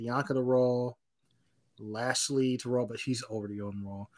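With an American accent, a man speaks in an unremarkable speaking voice at medium pitch and a moderate pace, his pitch varying in an ordinary way. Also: very clean recording, silent background. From North Carolina. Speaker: wrestling podcast co-host. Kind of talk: casual chat.

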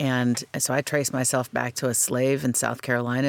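Moderate pace in an American accent, on a very clean recording with a silent background. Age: 40s. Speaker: author. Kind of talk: interview.

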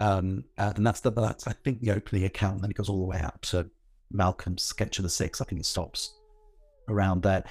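Over a silent background on a very clean recording, a man talks fairly quickly in a fairly low, somewhat breathy voice with fairly even intonation. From northwest London. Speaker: heritage organisation founder and author. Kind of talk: casual interview.

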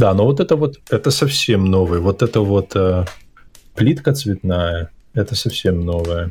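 Speaking at a fairly slow pace, a man uses lively intonation. His voice is fairly low and somewhat breathy. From Belarus. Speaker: podcast host. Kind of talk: casual interview chat. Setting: video call.

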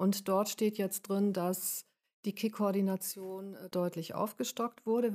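In a very clean recording with a silent background, a woman with a medium-pitched voice and a dark, mellow tone speaks at a fairly slow pace, the sound dry and close with no echo. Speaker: domestic violence counselor. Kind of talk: interview.

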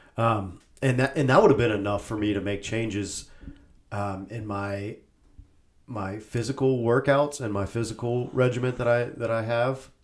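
At a moderate pace, a man with a normal speaking voice talks in a medium pitch with fairly even intonation. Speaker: podcast co-host. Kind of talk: casual chat. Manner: laughs often.

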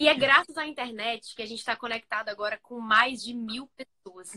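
A woman speaks in a fairly high voice with a bright, sharp tone and ordinary pitch variation. The sound is dry and close, with no echo. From Bahia, Brazil. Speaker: youth speaker and social media creator. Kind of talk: sermon.

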